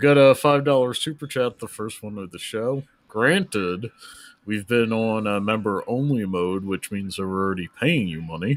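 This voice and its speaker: A man with an American accent and a fairly low pitch, at a moderate pace with ordinary pitch variation, in a very clean recording over a silent background. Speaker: live stream co-host. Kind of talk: casual live stream Q&A.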